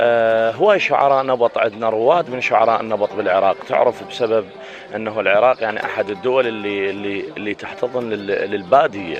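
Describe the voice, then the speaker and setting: With music in the background, a man speaks at a moderate pace and medium pitch, showing ordinary pitch variation and hardly any pauses. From Iraq, Basra. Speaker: poet. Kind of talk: interview.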